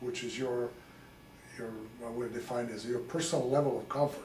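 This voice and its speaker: With fairly even intonation and medium pitch, a man talks at a fairly quick pace amid noticeable background noise and audible room echo. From Serbia, Belgrade. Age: 60s. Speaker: local author. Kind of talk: interview.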